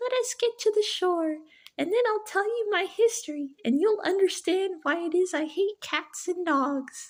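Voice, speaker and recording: This put-on character voice is squeaky and extremely high-pitched, moving at a moderate pace. The recording is very clean, with a silent background. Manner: trembling, passionate.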